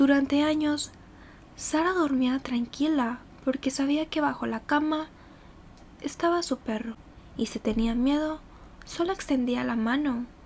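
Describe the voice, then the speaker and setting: At a fairly slow pace, a woman with a high pitch speaks with long, frequent pauses. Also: ordinary pitch variation. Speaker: ASMR creator. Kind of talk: horror story narration for ASMR. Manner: soft-spoken, slow.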